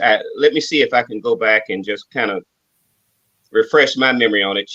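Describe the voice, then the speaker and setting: With a Southern accent, a man speaks at a moderate pace and medium pitch, his bright, sharp tone showing ordinary pitch variation in a dry, close sound with no echo. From Atlanta, Georgia. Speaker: security company owner. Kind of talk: interview. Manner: halting.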